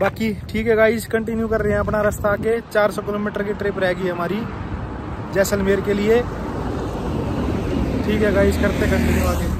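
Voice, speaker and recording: Over loud background noise, the speech comes at a fairly slow pace with long, frequent pauses and a dry sound with no echo. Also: man. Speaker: travel vlogger. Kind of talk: casual vlog chat. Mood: complaining, frustrated. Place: street. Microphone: phone near.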